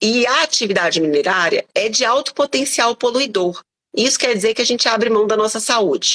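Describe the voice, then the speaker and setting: A woman's ordinary speaking voice, fairly high, at a fairly quick pace with lively intonation, dry and close with no echo. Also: very even loudness. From Brazil, Belo Horizonte (Minas Gerais). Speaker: teacher and environmental activist. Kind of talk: live online interview.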